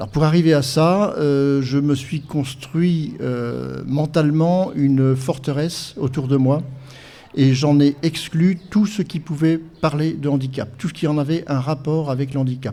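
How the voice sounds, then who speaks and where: A man with a dark, mellow tone and fairly high pitch speaks at a fairly slow pace with fairly even intonation. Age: 60s. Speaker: blind guide-dog association president. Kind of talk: podcast interview testimony. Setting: live podcast event with audience. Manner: hesitant, many fillers.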